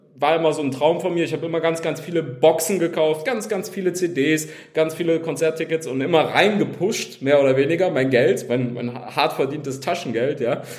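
Over noticeable background noise, a man with a fairly high pitch and ordinary pitch variation speaks at a fairly quick pace. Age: 30s. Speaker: game company founder. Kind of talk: interview.

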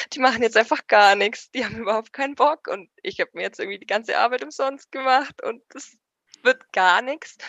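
At a fairly quick pace, a woman speaks in a high pitch with big swings in loudness. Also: lively intonation. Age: 20s. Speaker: paramedic and first aid trainer. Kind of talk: casual chat. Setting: at home on the sofa.

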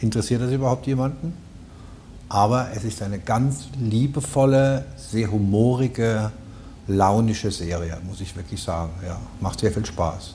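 A man's fairly low voice with lively intonation, a fairly slow pace and audible room echo. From Palatinate, Germany. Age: 60s. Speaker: dubbing studio owner. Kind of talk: casual chat. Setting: studio.

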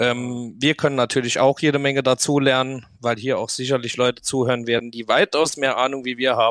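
A man at medium pitch speaks at a fairly quick pace in a monotone, flat intonation with hardly any pauses. The recording is very clean with a silent background and a dry, close sound with no echo. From Saarland, Germany. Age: 20s. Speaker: podcast host, quad rider. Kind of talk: casual chat.

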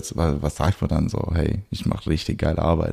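This man's voice is very deep and low in pitch. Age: 20s. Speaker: photographer and cinematographer. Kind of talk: casual chat. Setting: in his studio. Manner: frequent hesitations and fillers.

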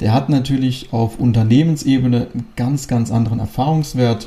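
A man's voice, dark and mellow with some breathiness, sits at a medium pitch and keeps a moderate pace. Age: 20s. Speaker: real estate company director. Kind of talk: interview.

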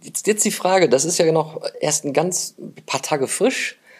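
Lively intonation carries a man's words as he speaks very slowly. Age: 50s. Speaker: podcast host. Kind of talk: casual interview. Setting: guest's office.

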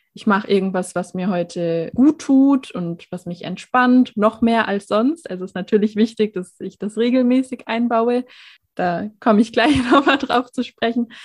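A woman speaks at a fairly high pitch with big swings in loudness. Her voice is somewhat breathy. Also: ordinary pitch variation, moderate pace, dry, close sound with no echo. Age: 20s. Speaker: social worker and mental health advocate. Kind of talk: personal testimony in interview.

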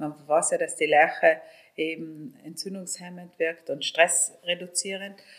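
Speaking in a South Tyrolean accent, a woman with a fairly low pitch talks at a fairly slow pace in a monotone, flat intonation, with big swings in loudness. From South Tyrol, Italy. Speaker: hotelier. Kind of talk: interview.

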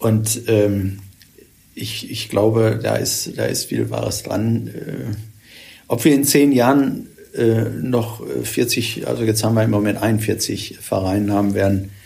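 Amid noticeable background noise and audible room echo, a man with a Ruhr accent speaks at a very slow pace, fairly low in pitch, with ordinary pitch variation. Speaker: retired church official, former bishop's aide. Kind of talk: podcast interview.

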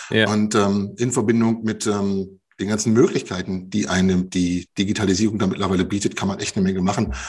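A man speaks quickly-ish in an ordinary speaking voice at a fairly low pitch. His intonation stays fairly even. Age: 40s. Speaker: leadership trainer and coach. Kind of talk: podcast interview.

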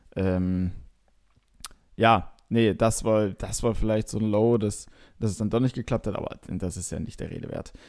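A man talks with fairly even intonation and long, frequent pauses. The recording is very clean, with a silent background. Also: fairly low pitch for a man. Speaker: podcast host. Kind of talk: casual chat. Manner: hesitant, many fillers.

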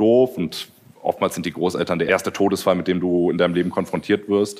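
This man's pitch is very deep and low. He speaks at a very fast pace. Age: 30s. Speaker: YouTuber. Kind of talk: casual chat.

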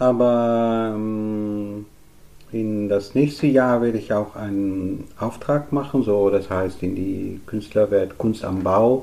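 At a very slow pace, a man with a fairly low pitch and a dark, mellow tone talks with fairly even intonation. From Netherlands. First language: Dutch (speaking German). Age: 50s. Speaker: artist. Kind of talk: interview. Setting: artist's studio worktable. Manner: halting.

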